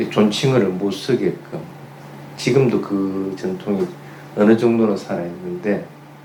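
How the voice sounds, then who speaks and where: A man talks at a fairly slow pace in a fairly low voice with very wide pitch swings. Audible room echo and noticeable background noise surround him. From Gyeongsang region, Korea. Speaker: Buddhist monk giving a dharma talk. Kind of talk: sermon.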